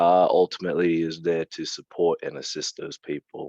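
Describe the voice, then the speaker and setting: A man's dark, mellow tone comes through dry and close, with no echo. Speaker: youth advocate. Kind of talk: presentation at live podcast event. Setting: live event with audience.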